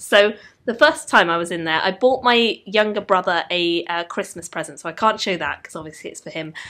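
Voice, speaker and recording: This bright, sharp voice moves at a fairly quick pace. The recording is very clean, with a silent background. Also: woman, medium pitch for a woman, lively intonation, big swings in loudness. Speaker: book vlogger. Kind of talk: casual vlog.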